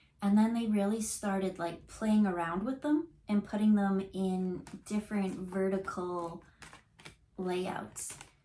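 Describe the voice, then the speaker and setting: Noticeable background noise sits behind a woman speaking at a very slow pace. Her medium pitch shows ordinary variation. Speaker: intuitive card reader. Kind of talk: tarot reading on camera. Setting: on camera. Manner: casual, halting with fillers.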